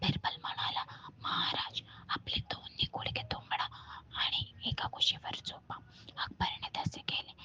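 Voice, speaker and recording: Someone whispers over noticeable background noise. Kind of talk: story reading, moral tale narration. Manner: soft, whispered ASMR delivery.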